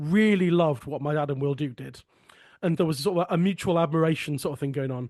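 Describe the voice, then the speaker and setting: A man talks at a very fast pace with a southern English accent. The sound is dry and close, with no echo. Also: quiet background. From Sussex, southern England. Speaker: folk song podcast host and folk singer. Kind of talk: casual conversation.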